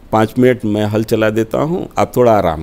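Speaking at a fairly slow pace, a man delivers his words. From Uttar Pradesh, Varanasi; Uttar Pradesh. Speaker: politician and party spokesperson; guest. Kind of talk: interview. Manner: formal. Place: studio. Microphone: lapel.

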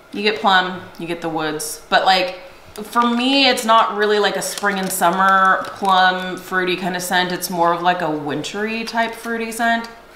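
A woman at a fairly slow pace with hardly any pauses and ordinary pitch variation, plus light background noise and audible room echo. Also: medium pitch for a woman. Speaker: direct sales consultant and video host. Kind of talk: casual product review chat. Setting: home video recording with spouse. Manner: animated. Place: home room.

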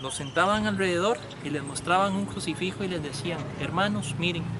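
Loud background noise surrounds a man talking at a fairly quick pace, the sound itself dry with no echo. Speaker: local guide telling a legend. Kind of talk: storytelling tour guide talk. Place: street.

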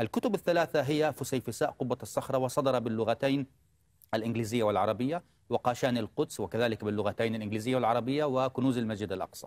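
A man talks at a fairly quick pace with a medium pitch and ordinary pitch variation. His loudness stays very even, and the sound is dry with no echo. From Jerusalem, Palestine; Palestine. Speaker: historian and author; guest. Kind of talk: TV interview. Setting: studio. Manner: formal. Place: studio. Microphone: lapel.

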